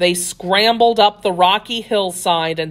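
This natural reading voice has ordinary pitch variation.

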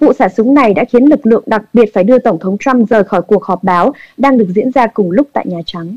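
A woman with an ordinary speaking voice talks at a moderate pace and fairly high pitch, with ordinary pitch variation and a dry, close sound with no echo. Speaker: news anchor. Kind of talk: news reading. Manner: formal.

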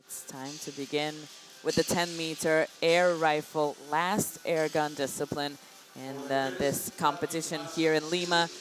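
With music in the background, a woman talks in an animated tone at a fairly slow pace. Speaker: shooting sport commentator. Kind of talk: live sports commentary of a shooting final. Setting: venue at shooting competition with crowd. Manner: animated, building tension at match point.

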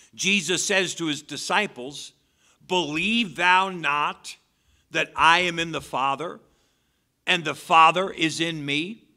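Over a quiet background, a man talks at a fairly slow pace with ordinary pitch variation. His tone is bright and sharp. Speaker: preacher. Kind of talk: sermon. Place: church. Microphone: podium.

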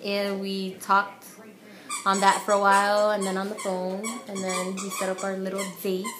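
Over noticeable background noise, a woman with an American accent speaks at a moderate pace in a monotone, flat intonation. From US Northeast. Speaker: vlogger. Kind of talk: casual chat. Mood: relaxed, smiling. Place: home room. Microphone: webcam.

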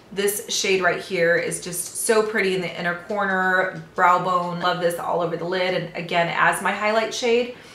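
Amid light background noise and audible room echo, a woman speaks in a monotone, flat voice at a moderate pace with hardly any pauses. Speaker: beauty vlogger. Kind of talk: casual vlog chat. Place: home room. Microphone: phone near.

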